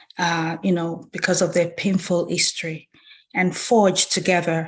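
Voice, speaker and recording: A woman speaks at a moderate pace in a fairly low, somewhat breathy voice with flat, monotone intonation against a quiet background. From Nigeria. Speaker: banker and community leader. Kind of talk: keynote speech.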